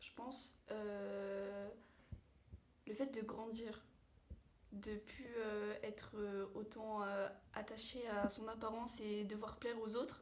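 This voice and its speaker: Amid noticeable background noise and audible room echo, a woman with a fairly high pitch speaks at a very slow pace in a monotone, flat intonation, with long, frequent pauses. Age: 18. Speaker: vocational student. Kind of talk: interview. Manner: hesitant, many fillers.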